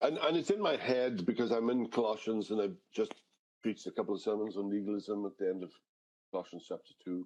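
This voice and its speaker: A man speaks at a fairly quick pace in a fairly low, dark and mellow voice. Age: 70s. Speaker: pastor. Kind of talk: interview answer.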